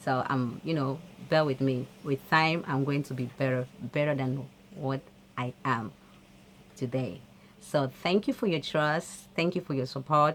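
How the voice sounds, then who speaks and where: A woman speaks with a non-native accent. Her voice is very deep and low, and her pace is fairly slow. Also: ordinary pitch variation. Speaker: motivational vlogger. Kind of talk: motivational talk to camera. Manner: hesitant, with fillers.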